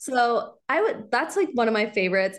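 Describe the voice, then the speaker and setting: A woman with an American accent speaks at a moderate pace and a fairly high pitch. Hers is an unremarkable speaking voice. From US Midwest, Kansas City area. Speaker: local content creator. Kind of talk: casual interview chat.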